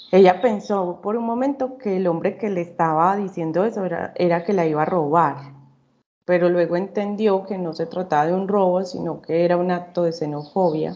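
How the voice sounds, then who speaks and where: With ordinary pitch variation, a woman talks in a fairly low voice and keeps a moderate pace. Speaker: psychology student. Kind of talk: class panel presentation. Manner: halting, with fillers.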